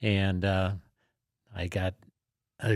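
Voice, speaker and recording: A man speaks with an Upper Midwest accent in a very clean recording with a silent background. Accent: Upper Midwest American. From South Dakota, Sioux Falls. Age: 70s. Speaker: war veteran. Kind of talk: interview. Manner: halting, many fillers.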